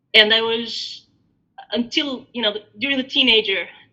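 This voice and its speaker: In an Albanian accent, a woman speaks with fairly even intonation. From Albania, raised in Greece from age 9. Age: 30s. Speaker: interviewee sharing life story. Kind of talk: podcast interview, personal story. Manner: hesitant, many fillers and repetitions.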